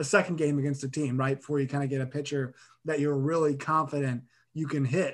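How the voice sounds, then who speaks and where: This man talks at a very fast pace. His voice sits fairly high, and his intonation stays fairly even. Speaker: college sports podcaster. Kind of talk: casual sports chat.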